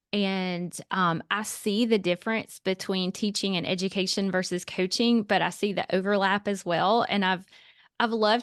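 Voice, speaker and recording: With a Southern accent, the speaker talks at a moderate pace with ordinary pitch variation over a quiet background. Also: woman. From US South, Alabama. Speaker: stress and nutrition coach. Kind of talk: casual interview.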